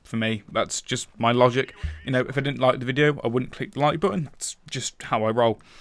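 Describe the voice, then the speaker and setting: A man with a British accent talks at a fairly quick pace with ordinary pitch variation. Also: medium pitch for a man. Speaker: gaming commentator. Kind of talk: gameplay commentary monologue. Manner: fast.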